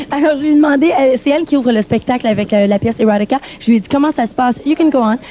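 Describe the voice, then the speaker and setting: Very fast speech in a Quebec French accent with ordinary pitch variation, over noticeable background noise. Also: woman, high pitch for a woman, hardly any pauses. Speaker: TV music show interviewer. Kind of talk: backstage interview with live translation. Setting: backstage dressing rooms.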